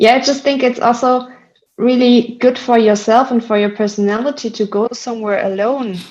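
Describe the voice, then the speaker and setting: Talking with a German accent, a woman uses a fairly high pitch, a moderate pace and fairly even intonation. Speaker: solutions manager at a tech company. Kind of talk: podcast interview. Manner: hesitant, many fillers.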